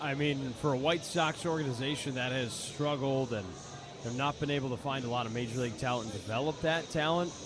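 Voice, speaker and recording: There is noticeable background noise behind this man. He talks at a fairly quick pace with a medium pitch. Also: ordinary pitch variation. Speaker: color commentator analyst. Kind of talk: baseball radio color commentary.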